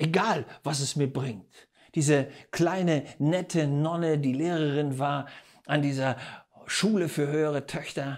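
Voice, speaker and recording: Against a quiet background, a man speaks at a fairly high pitch and fairly slow pace. His tone is animated. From Germany. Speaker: preacher. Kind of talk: sermon. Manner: emphatic, rhetorical questions. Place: studio. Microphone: lapel.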